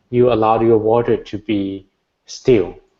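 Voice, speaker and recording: A man's medium-pitched voice with a Thai accent. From Thailand. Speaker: Buddhist monk, meditation teacher. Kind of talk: meditation Q&A.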